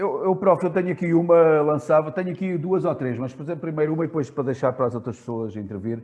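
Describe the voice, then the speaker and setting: A man at a very fast pace, with lively intonation. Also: fairly high pitch for a man, hardly any pauses. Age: 60s. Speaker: basketball coach, moderator. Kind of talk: Q&A question. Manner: halting.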